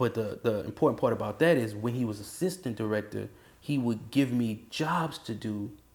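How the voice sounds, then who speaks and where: In a New Orleans accent, a man speaks at medium pitch with ordinary pitch variation. His pace is moderate, and the recording is very clean with a silent background. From New Orleans, Louisiana. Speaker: university band director. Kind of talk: interview. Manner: casual, halting with fillers.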